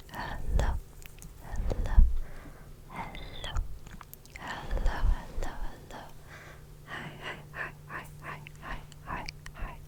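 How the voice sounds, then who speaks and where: Whispered speech moves at a very slow pace, broken by long, frequent pauses. Noticeable background noise sits underneath. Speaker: ASMR creator. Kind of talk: ASMR microphone test, close-up whispering. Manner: whispered, soft-spoken.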